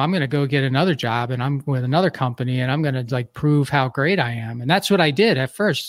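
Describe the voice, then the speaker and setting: On a very clean recording with a silent background, a man with an American accent uses a normal speaking voice, fairly high in pitch with ordinary pitch variation, at a fairly quick pace. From US Northeast, Philadelphia. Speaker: entrepreneur and podcast host. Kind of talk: interview.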